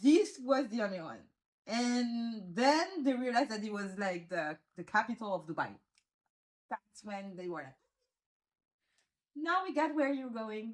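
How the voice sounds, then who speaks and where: A woman with a French accent speaks at a fairly high pitch. Her pitch swings very widely, and her loudness swings a lot. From Réunion Island. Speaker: law graduate living abroad. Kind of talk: casual interview chat. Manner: halting, frequent restarts and fillers.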